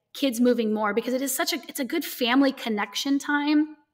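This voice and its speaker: The speech moves at a moderate pace with fairly even intonation. The background is quiet. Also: woman. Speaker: remote podcast guest. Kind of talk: interview answer. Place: home room. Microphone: earbuds.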